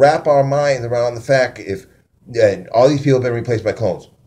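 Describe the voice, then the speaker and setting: Speaking at a fairly quick pace, a man with a fairly high pitch has a dark, mellow tone that is somewhat breathy. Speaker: conspiracy vlogger. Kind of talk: casual monologue; reading aloud own notes. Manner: fast; halting.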